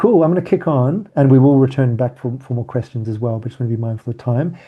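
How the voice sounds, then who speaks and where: A man with a medium-pitched, somewhat breathy voice talks at a very fast pace. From South Africa. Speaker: workshop facilitator. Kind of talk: online training session.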